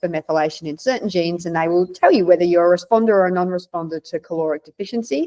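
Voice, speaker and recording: Speaking with an Australian accent, a woman has a fairly low, dark and mellow voice with fairly even intonation, recorded with a dry, close sound and no echo. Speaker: naturopath. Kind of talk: interview.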